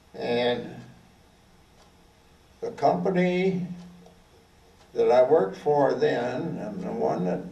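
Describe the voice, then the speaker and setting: A very slow delivery with long, frequent pauses, big swings in loudness and noticeable background noise. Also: man. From Oklahoma. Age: 80s+. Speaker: war veteran. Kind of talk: talk to an audience.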